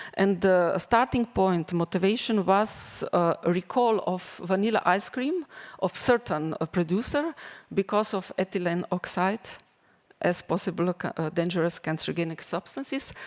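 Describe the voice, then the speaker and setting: A woman speaks at a medium pitch with a non-native accent and ordinary pitch variation. Her pace is moderate, and the sound is dry and close with no echo. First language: not English. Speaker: teacher presenting school project. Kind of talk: conference presentation. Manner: halting, many fillers.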